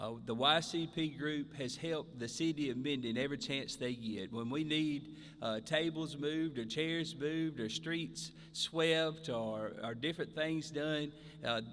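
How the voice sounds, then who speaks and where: In a Southern US accent, a man talks at a fairly slow pace and fairly high pitch with ordinary pitch variation. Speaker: mayor. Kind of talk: ceremony speech.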